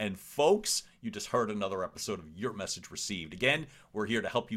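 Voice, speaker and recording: In an animated tone and an American accent, a man talks at a fairly quick pace with a fairly low pitch and ordinary pitch variation. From Philadelphia, US. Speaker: podcast host, communication coach. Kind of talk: interview conversation; scripted outro.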